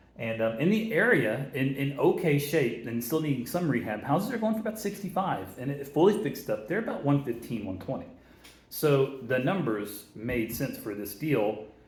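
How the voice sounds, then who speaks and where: A man's fairly high voice moves through very wide pitch swings amid audible room echo. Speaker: real estate investor. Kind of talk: tutorial. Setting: office, big concrete room. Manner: fast. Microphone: echo in a bare room.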